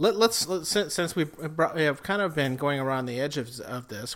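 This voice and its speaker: With an Upper Midwest accent, a man speaks at a fairly quick pace. His pitch is fairly high and varies in an ordinary way. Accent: Upper Midwest American. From South Dakota. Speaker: podcast co-host, musician. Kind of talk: casual chat. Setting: home kitchen.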